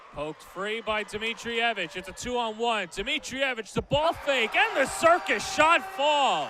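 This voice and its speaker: Amid noticeable background noise, a man's raised, projected voice, extremely high in pitch, swings very widely at a fairly slow pace. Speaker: sports play-by-play announcer. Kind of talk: live basketball play-by-play commentary.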